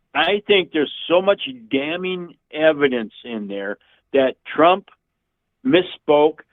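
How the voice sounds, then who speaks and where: The speaker is a man with a fairly high pitch. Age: 60s. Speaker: caller. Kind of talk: heated debate. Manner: halting.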